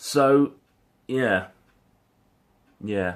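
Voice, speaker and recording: Speaking with a British accent, a man uses ordinary pitch variation. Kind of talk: casual talk to camera.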